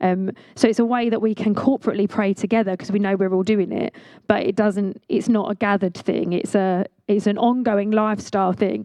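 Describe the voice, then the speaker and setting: At a fairly quick pace, a woman speaks in a medium pitch with monotone, flat intonation. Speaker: visiting speaker from a church ministry. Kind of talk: sermon. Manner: fast; hesitant, with many fillers.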